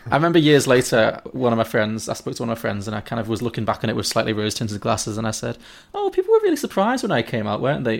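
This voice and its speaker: A man with a Liverpool accent at a very fast pace. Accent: Scouse (Liverpool). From Liverpool, England. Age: 30s. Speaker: podcast guest. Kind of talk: casual chat.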